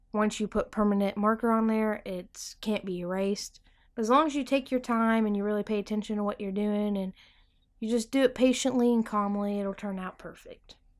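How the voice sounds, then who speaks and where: In a very clean recording with a silent background, a woman talks at a moderate pace. She has a normal speaking voice, fairly high in pitch, with fairly even intonation. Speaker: art tutorial YouTuber. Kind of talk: tutorial. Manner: casual.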